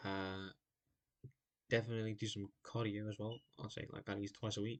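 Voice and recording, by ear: Fairly low in pitch, a man speaks at a moderate pace with little pitch movement.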